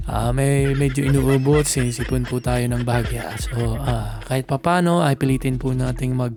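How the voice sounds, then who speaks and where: A man at a moderate pace with hardly any pauses and very even loudness, over noticeable background noise. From Bicol region, Philippines. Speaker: political commentary vlogger. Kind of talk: casual political commentary. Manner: halting, many fillers.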